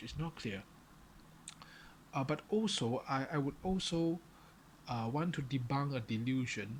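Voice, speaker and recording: A fairly slow pace with a strong non-native accent. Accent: non-native English, far from native. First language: Chinese. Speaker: vlogger. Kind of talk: solo monologue to camera. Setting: alone in front of a camera. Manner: halting, many fillers and repetitions.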